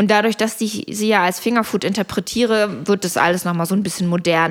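A woman speaks in a normal speaking voice. Her pace is fairly quick and her intonation fairly even. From Germany (born in Poland). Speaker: caterer and entrepreneur. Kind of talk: casual interview. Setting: home kitchen.

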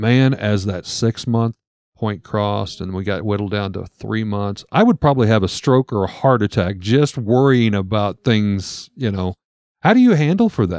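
In a dry, close sound with no echo and a quiet background, a man talks at a moderate pace and fairly low pitch with ordinary pitch variation. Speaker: podcast co-host. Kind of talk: scripted narration. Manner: loud.

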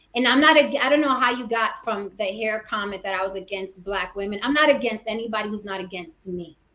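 A woman with an American accent, using an ordinary speaking voice, talks at a fairly quick pace with hardly any pauses, a fairly high pitch with ordinary variation, and big swings in loudness. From New York, the Bronx. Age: 40s. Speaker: actress and YouTuber. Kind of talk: casual chat.

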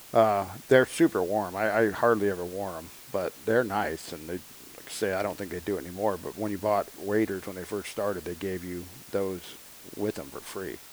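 A man with an American accent, fairly low pitch and fairly even intonation, over noticeable background noise. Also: moderate pace. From Northern California. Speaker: hunting podcast co-host. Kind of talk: casual chat.

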